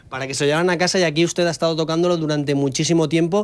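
A man at a very fast pace with fairly high pitch and ordinary pitch variation, music in the background. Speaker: TV reporter. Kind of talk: TV interview questions.

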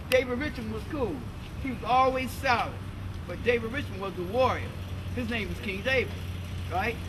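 A man talks with an American accent. Noticeable background noise runs underneath. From United States. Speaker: civil rights activist, orator. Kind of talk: recollection, interview talk. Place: street.

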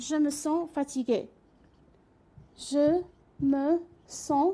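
Very slowly, a woman speaks with a dark, mellow tone. Her pitch is high, with ordinary pitch variation. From Iraq. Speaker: French teacher; French language teacher. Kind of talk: lecture. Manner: halting. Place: studio.

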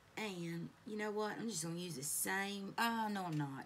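A woman speaks with ordinary pitch variation. Background noise is noticeable. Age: 40s. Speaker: beauty YouTuber. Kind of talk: makeup tutorial chat. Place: home room. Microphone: phone near.

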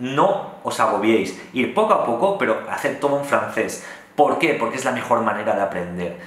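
A man speaks at a moderate pace with lively intonation, and the room echo is audible. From Spain. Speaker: vlogger living abroad. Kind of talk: casual vlog monologue. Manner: animated. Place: home room.

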